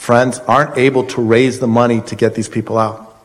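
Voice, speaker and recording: A man with an American accent speaks at a medium pitch, and the room echo is audible. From Colorado. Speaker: congressional candidate, former congressman. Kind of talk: candidate forum. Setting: college hall with audience.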